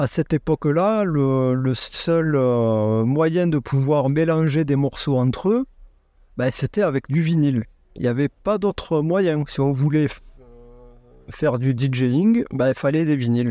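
In a dry, close sound with no echo and a quiet background, a man with a fairly high pitch and a dark, mellow tone talks at a very slow pace with long, frequent pauses, very even loudness and ordinary pitch variation. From southwest France, near Montauban. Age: 40s. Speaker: record store owner and DJ. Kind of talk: interview. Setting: in his record shop (a converted bus).

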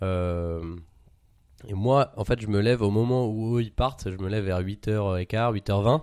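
A man's dark, mellow voice at a fairly low pitch with ordinary pitch variation, on a very clean recording with a silent background. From Paris, France. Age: 20s. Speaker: entrepreneur. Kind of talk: casual chat.

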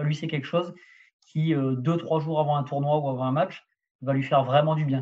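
A man talks in a fairly high, somewhat breathy voice. His intonation stays flat and monotone. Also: moderate pace. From southern France. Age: 30s. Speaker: tennis strength and conditioning coach. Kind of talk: podcast interview.

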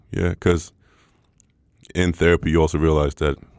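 A man speaks with vocal fry in a monotone, flat intonation. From Sweden, Stockholm. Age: 20s. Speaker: professional basketball player. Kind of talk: casual interview.

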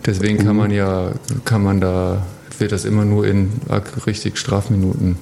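The delivery is monotone and flat at a moderate pace, with very even loudness and long, frequent pauses. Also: man, fairly low pitch for a man. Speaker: professional ice hockey player. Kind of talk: casual chat. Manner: halting, many fillers.

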